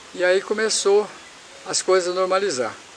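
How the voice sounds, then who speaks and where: Noticeable background noise fills the clip. A man speaks fairly slowly. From Paraná, Brazil. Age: 70s. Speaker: former city councillor. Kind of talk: interview answer, life story.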